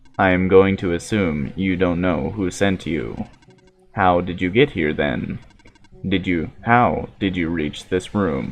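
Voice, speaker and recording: Using a put-on character voice, a man speaks at a very deep, low pitch. Faint music plays in the background. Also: fairly slow pace. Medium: solo performance. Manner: formal, measured.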